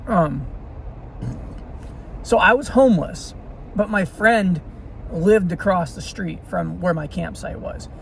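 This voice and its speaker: With an American accent, the speaker goes at a fairly slow pace with long, frequent pauses against noticeable background noise. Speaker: vlogger telling life stories. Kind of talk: casual storytelling monologue. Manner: halting, many fillers.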